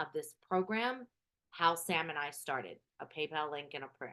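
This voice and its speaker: A loud woman's voice at a fairly low pitch. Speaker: spiritual business coach. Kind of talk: live group coaching call. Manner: projects voice, louder.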